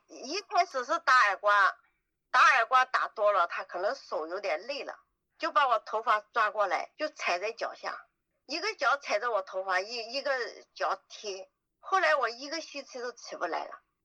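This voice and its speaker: A woman's high pitch with very wide pitch swings and big swings in loudness, in a dry, close sound with no echo. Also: moderate pace. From Yunnan, Dali. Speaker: trafficking survivor. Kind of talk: interview testimony.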